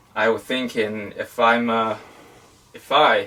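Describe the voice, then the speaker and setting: There is noticeable background noise as a man speaks with a Chinese accent. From China. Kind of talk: interview. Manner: halting.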